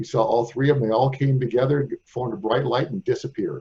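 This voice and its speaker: A man with an American accent talks at a fairly quick pace, his voice somewhat breathy and dark and mellow in tone. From US Midwest, St. Louis. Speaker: radio host. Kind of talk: interview.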